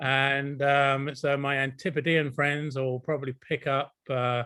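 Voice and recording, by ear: A man speaks at a fairly slow pace with little pitch movement. His tone is clear and smooth, yet bright and sharp. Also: medium pitch for a man.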